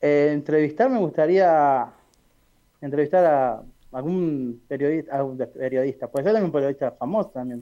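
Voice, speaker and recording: A man with a fairly high pitch and a dark, mellow tone speaks at a moderate pace with ordinary pitch variation. The background is quiet. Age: 30s. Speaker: journalist. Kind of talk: interview.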